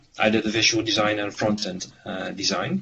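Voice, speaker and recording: A man's fairly low voice with music in the background. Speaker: visual designer presenting a project. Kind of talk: online meeting presentation. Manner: halting, many fillers and repetitions.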